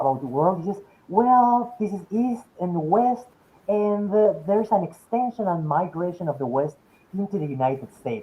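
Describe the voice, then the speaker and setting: Here a man talks at a moderate pace with a Spanish accent. His pitch makes very wide swings. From Mexico City, Mexico. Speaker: philosophy professor. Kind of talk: academic lecture Q&A discussion. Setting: webinar video call. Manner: halting, with frequent repetitions.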